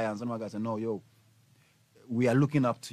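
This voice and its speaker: A man's dark, mellow tone in a dry sound with no echo. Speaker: radio guest. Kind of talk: interview answer. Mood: earnest, emotional reflection. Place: studio.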